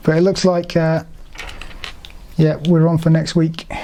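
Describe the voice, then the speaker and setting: There is noticeable background noise. Through it comes a woman's fairly low-pitched voice. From England. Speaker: LEGO YouTuber. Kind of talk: live stream build commentary. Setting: live stream at home. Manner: casual, halting with fillers.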